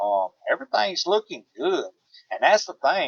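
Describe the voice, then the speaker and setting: A man speaks with a Southern US accent. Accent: Southern twang. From US South. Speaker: homesteader. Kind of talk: casual chat. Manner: halting.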